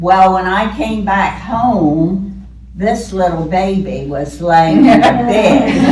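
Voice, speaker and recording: Amid noticeable background noise and audible room echo, a woman with an American accent speaks at a very slow pace. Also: ordinary pitch variation. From Ocean View, US Mid-Atlantic. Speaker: longtime local resident. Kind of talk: oral history reminiscence. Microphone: speaks without microphone.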